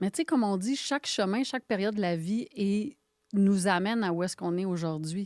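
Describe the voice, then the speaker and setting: In an ordinary speaking voice, a woman talks at a fairly quick pace with a medium pitch and ordinary pitch variation, the sound dry and close with no echo in a very clean recording with a silent background. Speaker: photographer and coach. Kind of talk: interview podcast conversation.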